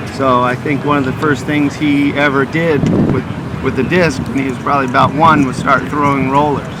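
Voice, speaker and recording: With an American accent, a man speaks at a fairly high pitch, fairly quickly, in a monotone, flat delivery. The recording has audible room echo and noticeable background noise. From California, Santa Barbara. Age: 40s. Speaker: frisbee player. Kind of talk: casual interview.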